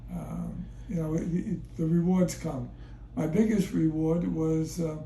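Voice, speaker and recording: The pace is fairly slow as a man speaks. Noticeable background noise runs behind him. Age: 80s+. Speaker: retired fitness center owner and marathon runner. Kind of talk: interview answer.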